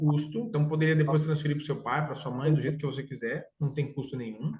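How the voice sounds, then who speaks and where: A man's somewhat breathy voice. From interior of São Paulo state, Brazil. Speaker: consortium sales consultant. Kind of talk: sales consultation with a client. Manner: casual, enthusiastic.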